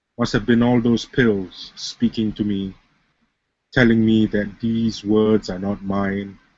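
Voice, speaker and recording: A man talks very slowly in a fairly low voice. His intonation stays flat and monotone. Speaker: spoken word poet. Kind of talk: spoken word poetry performance. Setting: webcam recording.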